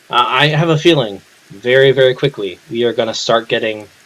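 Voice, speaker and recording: A man's medium-pitched voice, fairly slow, with ordinary pitch variation over noticeable background noise. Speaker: gaming video creator; chiropractic student. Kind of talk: let's play commentary. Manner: casual, hesitant with fillers; slow-paced.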